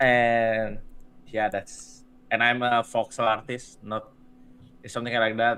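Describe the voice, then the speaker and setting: A man of medium pitch speaks at a fairly slow pace in a monotone, flat intonation, leaving long, frequent pauses, his loudness swinging widely. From Indonesia. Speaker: visual artist and streamer. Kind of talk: casual chat. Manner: halting.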